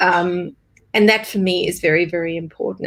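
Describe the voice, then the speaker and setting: Here is a woman with an unremarkable speaking voice. Her pitch is medium, and her pace is moderate. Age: 40s. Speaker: business strategist. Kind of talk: casual chat.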